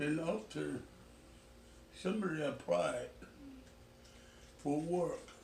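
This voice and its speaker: A man's speech moves at a very slow pace, broken by long, frequent pauses, with audible room echo around it. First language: Chinese. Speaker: retired pastor. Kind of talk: family interview, life story. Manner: halting.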